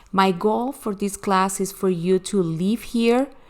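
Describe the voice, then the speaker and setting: A woman's medium-pitched voice in a Spanish accent, with ordinary pitch variation, at a fairly slow pace. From Venezuela. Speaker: online crafting teacher. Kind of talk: recorded online class. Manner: animated.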